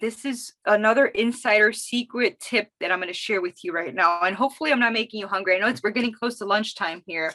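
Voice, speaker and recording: With a Miami accent, a woman speaks in a fairly high, bright, sharp voice, her tone animated and her intonation lively, the sound dry and close with no echo. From Miami, Florida. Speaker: social media marketing consultant. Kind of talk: webinar presentation. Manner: fast.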